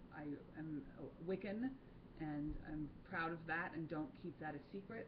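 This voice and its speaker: Audible room echo surrounds a woman speaking at a very deep, low pitch with ordinary pitch variation. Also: fairly slow pace. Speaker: voice teacher and holistic healer. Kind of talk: monologue to camera. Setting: studio. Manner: halting, with fillers.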